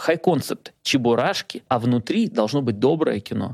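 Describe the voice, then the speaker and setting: A fairly high-pitched man with a normal speaking voice and lively intonation, in a dry, close sound with no echo, on a very clean recording with a silent background. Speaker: film director. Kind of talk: casual interview chat.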